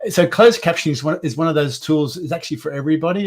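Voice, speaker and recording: Against a quiet background, a man talks very fast in a somewhat breathy voice with ordinary pitch variation. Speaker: accessibility specialist; guest. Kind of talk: webinar discussion. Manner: mumbling; halting, repeats words.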